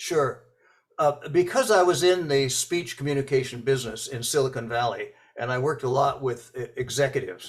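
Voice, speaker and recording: Somewhat breathy and fairly high-pitched, a man speaks at a fairly quick pace with ordinary pitch variation. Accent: American. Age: 80s+. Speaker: author and speech coach. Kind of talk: interview. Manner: hesitant, many fillers and repetitions.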